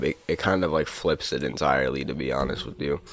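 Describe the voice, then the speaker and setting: A man is speaking. His voice has vocal fry. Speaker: music producer. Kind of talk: tutorial. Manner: casual.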